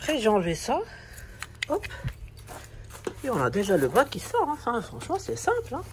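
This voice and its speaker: There is noticeable background noise as a man talks at a moderate pace. He leaves long, frequent pauses. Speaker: car DIY youtuber. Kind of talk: tutorial. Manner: casual, hesitant with repeats.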